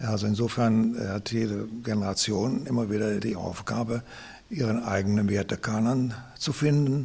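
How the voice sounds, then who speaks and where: Over noticeable background noise, a voice moves at a moderate pace with fairly even intonation. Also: man, medium pitch for a man. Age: 70s. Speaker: retired philosophy teacher. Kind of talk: interview.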